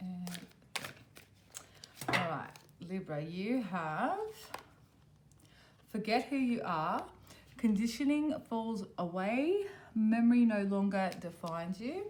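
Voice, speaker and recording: Amid noticeable background noise and audible room echo, a woman with a fairly high pitch talks very slowly and with lively intonation, leaving long, frequent pauses. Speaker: tarot reader. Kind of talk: tarot reading to camera. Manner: casual, many fillers.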